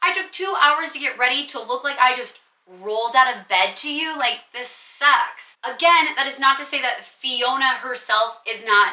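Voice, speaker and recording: A woman speaks in a raised, projected voice with lively intonation. Her pitch is high and her pace moderate. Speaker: content creator, lookalike. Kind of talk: Q&A monologue to camera. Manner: casual, animated.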